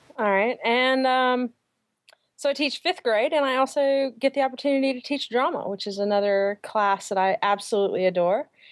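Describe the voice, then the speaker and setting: High-pitched female voice with lively intonation at a moderate pace, dry and close with no echo. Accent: American. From US South, Atlanta. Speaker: primary school teacher. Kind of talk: interview.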